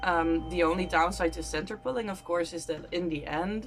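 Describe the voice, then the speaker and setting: A woman talks at a moderate pace with music playing behind her. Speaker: crochet YouTuber. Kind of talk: casual talk to camera.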